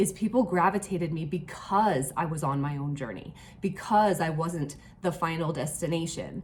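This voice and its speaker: Pitch moves with ordinary variation. There is noticeable background noise. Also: woman. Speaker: online fitness coach. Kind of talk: casual talk to camera. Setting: hotel room.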